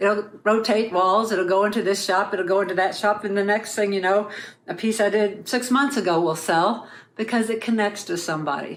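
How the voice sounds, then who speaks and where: Noticeable background noise sits behind a woman whose intonation is fairly even. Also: medium pitch for a woman, moderate pace. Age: 60s. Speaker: artist sharing testimony. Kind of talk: testimony.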